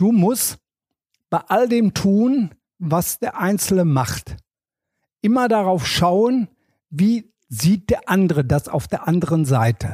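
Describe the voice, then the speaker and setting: Very slow and full of long, frequent pauses, a man speaks at a high pitch with very wide pitch swings and a dark, mellow tone. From Ruhr area, Germany (Wanne-Eickel). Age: 70s. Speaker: former tennis tournament press officer. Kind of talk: casual interview.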